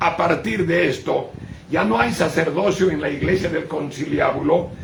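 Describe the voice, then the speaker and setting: With audible room echo and noticeable background noise, a man speaks in a high pitch at a fairly slow pace. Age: 80s+. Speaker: bishop. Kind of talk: sermon.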